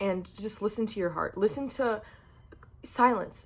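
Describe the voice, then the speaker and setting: Animated in tone, a woman talks at a moderate pace with a fairly high pitch. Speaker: motivational vlogger. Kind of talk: motivational talk. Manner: loud.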